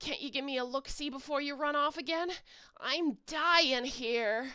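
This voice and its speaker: A whiny, put-on character voice. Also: woman. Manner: whiny, complaining.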